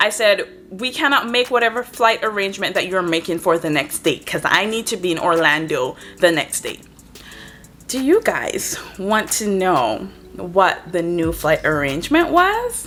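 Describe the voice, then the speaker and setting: A woman's medium-pitched, animated voice with lively intonation at a moderate pace, over noticeable background noise. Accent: Antiguan. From Antigua. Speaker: travel vlogger. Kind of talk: story time vlog.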